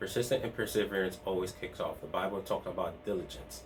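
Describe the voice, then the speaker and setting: At a very fast pace, a man with a fairly low voice speaks in a room with audible echo. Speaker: part-time online reseller and video host. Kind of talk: casual vlog talk to camera. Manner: halting, many restarts and fillers.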